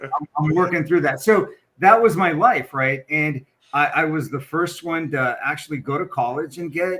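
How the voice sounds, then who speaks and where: Speaking with a Spanish accent, a man uses a fairly high pitch, ordinary pitch variation and a moderate pace. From western US, military moves. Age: 50s. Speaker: corporate equity executive. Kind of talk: podcast interview, personal story.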